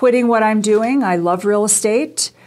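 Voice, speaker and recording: At a fairly slow pace, a woman with an American accent uses an ordinary speaking voice at medium pitch with fairly even intonation. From US Midwest, Chicago. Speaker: political candidate and real estate broker. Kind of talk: radio interview.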